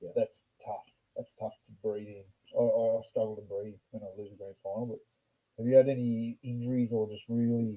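A man's medium-pitched voice with an Australian accent, a dark, mellow tone, monotone, flat intonation, big swings in loudness and a fairly quick pace. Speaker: podcast host and rugby club member. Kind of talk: casual chat. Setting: in person, drinking beers.

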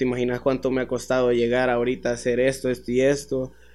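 A man with a Salvadoran accent talks at a medium pitch. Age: 20s. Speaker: dancer and choreographer. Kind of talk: casual chat.

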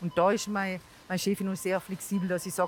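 Music plays in the background. A woman speaks with a Tyrolean accent. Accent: Tyrolean dialect, kept. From Tyrol, Austria. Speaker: marketing employee, mother. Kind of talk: casual interview.

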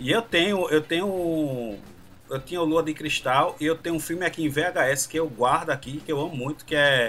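Speaking at a moderate pace, a man uses a normal speaking voice with a fairly high pitch and ordinary pitch variation. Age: 40s. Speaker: podcast guest. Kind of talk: casual chat.

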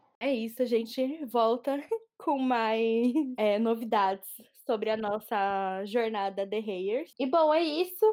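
Speaking very slowly, a woman with a fairly high voice and ordinary pitch variation is heard on a very clean recording with a silent background. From Brazil, São Paulo. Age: 20s. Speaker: podcast host, journalist. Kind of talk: casual chat.

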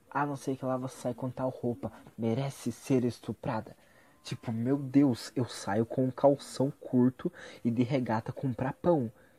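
On a very clean recording with a silent background and a dry, close sound with no echo, a man with a dark, mellow tone speaks fairly slowly at medium pitch with fairly even intonation. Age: 20s. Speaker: vlogger. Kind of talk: casual monologue.

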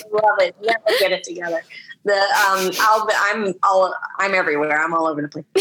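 A woman at a medium pitch and a fairly quick pace, with noticeable background noise. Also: ordinary pitch variation. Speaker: podcast guest. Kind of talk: casual chat. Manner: halting.

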